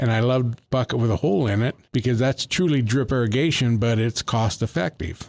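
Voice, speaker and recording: A man with an American accent has an unremarkable speaking voice at medium pitch. He keeps a moderate pace with ordinary pitch variation. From Northern California, Colusa County. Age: 60s. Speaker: master gardener. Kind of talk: casual chat.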